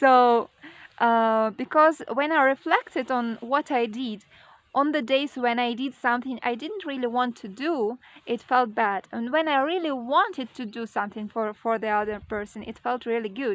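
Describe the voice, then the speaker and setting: A woman speaks at a moderate pace with a high voice. Her pitch rises and falls in an ordinary way. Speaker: vlogger. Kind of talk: personal vlog monologue. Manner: hesitant, many fillers.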